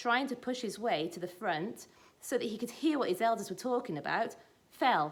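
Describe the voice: Text in plain reading aloud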